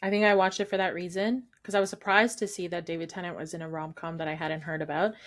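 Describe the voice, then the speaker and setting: A woman's medium-pitched voice at a very fast pace, fairly even in intonation with hardly any pauses, on a very clean recording with a silent background. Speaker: podcast co-host. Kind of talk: casual chat. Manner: puts on Scottish accent at times.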